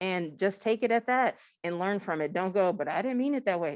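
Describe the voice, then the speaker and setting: The woman's intonation is lively, and the background is quiet. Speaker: conference speaker on allyship. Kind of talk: conference talk. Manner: fast.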